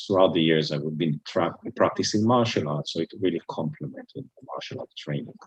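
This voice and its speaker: A man speaks with an Israeli accent. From Israel, Jerusalem. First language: Hebrew. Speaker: retired business executive, Bible student. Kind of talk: talk to interfaith group.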